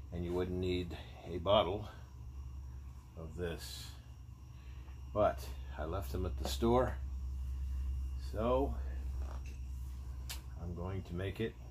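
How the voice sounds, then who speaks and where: Over light background noise, a man speaks at a very slow pace with a very deep, low pitch, vocal fry, ordinary pitch variation and long, frequent pauses. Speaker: outdoor cooking vlogger. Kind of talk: casual cooking tutorial. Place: garden. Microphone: phone near.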